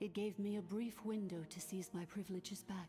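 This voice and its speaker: Over clear music in the background, a female-sounding voice does a put-on character voice in a calm tone, medium in pitch and moderate in pace. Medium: video game. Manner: calm, formal.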